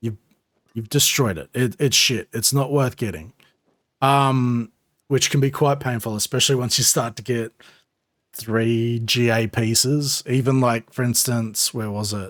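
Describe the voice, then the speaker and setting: With an Australian accent, a man speaks at a fairly slow pace with fairly even intonation in a dry, close, echo-free recording with a completely silent background. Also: medium pitch for a man. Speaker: gaming streamer. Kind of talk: tutorial. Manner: casual, filler-heavy.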